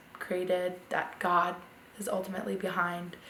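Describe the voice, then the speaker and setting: Her voice is at a medium pitch for a woman. Audible room echo and noticeable background noise accompany it. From US Mid-Atlantic, Delaware. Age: 20s. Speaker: interviewee. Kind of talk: interview testimony.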